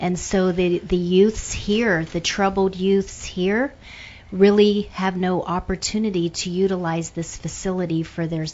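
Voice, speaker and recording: A woman with an American accent talks fairly slowly at a medium pitch. She has an ordinary speaking voice and fairly even intonation. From Pittsburgh, Pennsylvania. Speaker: retired airline employee and businesswoman. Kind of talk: radio interview.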